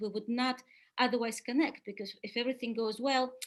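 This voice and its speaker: With a Russian accent, a woman speaks at a high pitch. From Soviet Union. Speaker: webinar speaker on spiritual development. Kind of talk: webinar talk. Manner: hesitant with many fillers.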